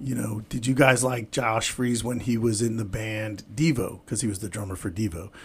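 At medium pitch, a man talks in a normal speaking voice. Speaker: podcast host. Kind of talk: casual podcast banter.

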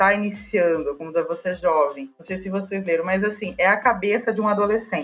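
Fairly quick speech in a São Paulo accent, with ordinary pitch variation. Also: woman. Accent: Paulistano Brazilian Portuguese. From Brazil, São Paulo. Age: 40s. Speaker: HR and recruiting professional. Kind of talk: interview.

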